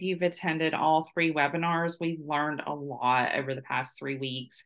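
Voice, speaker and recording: The speaker has a plain, everyday voice. The delivery keeps a moderate pace. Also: woman. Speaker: business owner hosting a webinar. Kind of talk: webinar presentation. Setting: online webinar.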